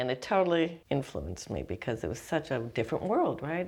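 A woman with an American accent speaks at a very deep, low pitch. Vocal fry runs through her voice. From Wisconsin (Oshkosh). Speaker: artist and art teacher. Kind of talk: interview.

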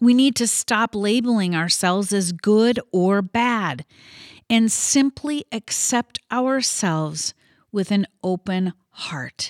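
Speaking with an American accent at a very slow pace, a woman uses medium pitch and lively intonation in a dry, close sound with no echo on a very clean recording with a silent background. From US Midwest. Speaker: podcast host, self-help coach. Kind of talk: motivational monologue.

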